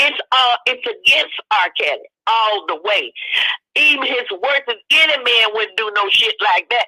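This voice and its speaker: Her delivery is animated, with lively intonation. The woman speaks fairly slowly in a high voice. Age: 70s. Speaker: livestream commentator. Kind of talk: livestream rant.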